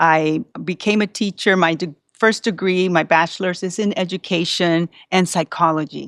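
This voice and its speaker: In a Puerto Rican accent, a woman speaks at a moderate pace with a fairly low pitch and fairly even intonation. The recording is very clean with a silent background. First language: Spanish. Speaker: school psychologist. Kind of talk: interview.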